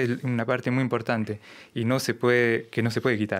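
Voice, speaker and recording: The setting behind him is quiet. This man's delivery has a moderate pace. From France, Lyon; France. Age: 30s. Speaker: tango bandoneon player; guest. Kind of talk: interview. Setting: radio studio. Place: studio. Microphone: studio mic.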